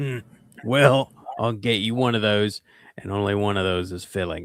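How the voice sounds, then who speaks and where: A man does a put-on character voice, pitched fairly low and delivered at a moderate pace. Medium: actual play. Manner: wry, dry.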